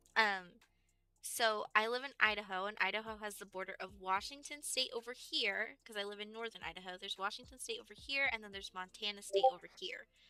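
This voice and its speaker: Speaking with an American accent, a woman with a fairly high voice and a bright, sharp tone talks at a fairly quick pace. Her loudness swings widely, while her pitch varies in an ordinary way. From Texas. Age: 20s. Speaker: gaming streamer. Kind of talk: casual live-stream chat.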